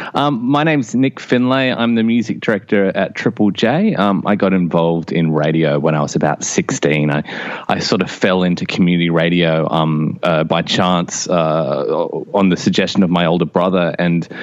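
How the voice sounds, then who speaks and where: Over noticeable background noise, a man with an Australian accent and a very deep, low pitch keeps his loudness very even, using lively intonation at a moderate pace. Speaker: radio music director. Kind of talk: interview. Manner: hesitant, many fillers.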